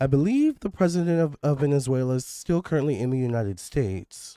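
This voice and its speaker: A dark, mellow tone with lively intonation on a very clean recording against a silent background. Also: man. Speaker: psychic tarot reader. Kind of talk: tarot reading video monologue. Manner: casual, with filler words.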